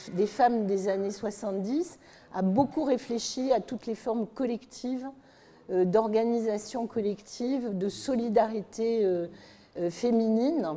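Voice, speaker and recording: At a very slow pace, a woman speaks with a dark, mellow tone, a fairly high pitch and ordinary pitch variation. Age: 70s. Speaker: activist. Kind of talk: panel discussion.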